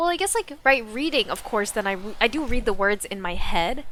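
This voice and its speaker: With music in the background, a woman speaks in an animated tone with lively intonation. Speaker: streamer. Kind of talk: casual chat. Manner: fast.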